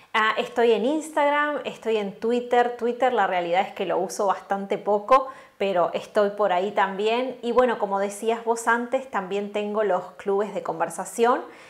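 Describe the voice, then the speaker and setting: Speaking at a fairly slow pace with hardly any pauses, a woman with a Uruguayan accent uses a fairly high pitch over noticeable background noise. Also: ordinary pitch variation. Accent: Uruguayan Rioplatense Spanish. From Uruguay, Florida. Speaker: Spanish teacher and language content creator. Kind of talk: interview.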